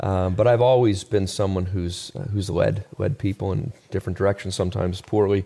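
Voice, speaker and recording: This man has a plain, everyday voice, fairly low in pitch. He talks at a fairly quick pace with fairly even intonation and hardly any pauses. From Canada, Halifax, Nova Scotia. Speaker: evangelism ministry leader. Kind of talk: casual chat.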